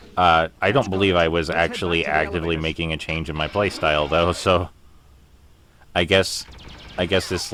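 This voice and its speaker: Noticeable background noise sits behind a man with a very deep, low pitch. His pace is moderate and his intonation fairly even. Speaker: gamer. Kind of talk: let's play commentary.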